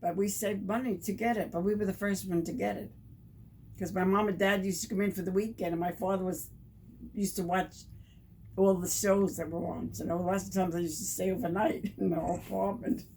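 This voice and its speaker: A woman with an American accent talks at a very fast pace, her medium pitch carrying a dark, mellow tone. Vocal fry runs through her voice, and her intonation stays fairly even. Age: 80s+. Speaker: former wartime factory worker. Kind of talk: interview answer.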